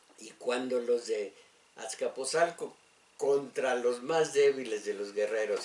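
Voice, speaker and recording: Very slow, fairly high speech from a man with lively intonation, noticeable background noise behind it. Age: old. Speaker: radio host. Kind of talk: radio talk and history lecture. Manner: halting, many fillers.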